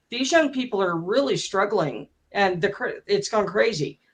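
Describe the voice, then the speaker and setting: Music is playing behind the speaker. The voice is a woman's. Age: 60s. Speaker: debate participant. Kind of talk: live debate.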